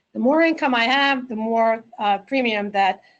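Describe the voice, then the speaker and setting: At a moderate pace, a woman with a New Jersey accent speaks in a fairly high voice with ordinary pitch variation. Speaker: accountant. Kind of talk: webinar presentation. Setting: webinar.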